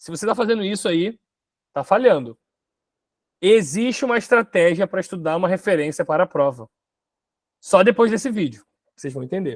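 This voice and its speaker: Long pauses come often, though the talking between them is fairly quick. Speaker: online exam-prep teacher. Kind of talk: online class presentation.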